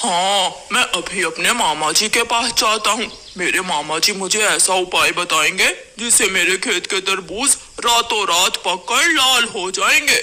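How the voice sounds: A man puts on a cartoonish character voice, pitched high, and speaks at a moderate pace.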